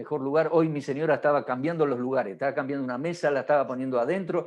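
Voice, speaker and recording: This is a man's voice. It has a fairly high pitch. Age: 60s. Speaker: pastor. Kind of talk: marriage workshop teaching.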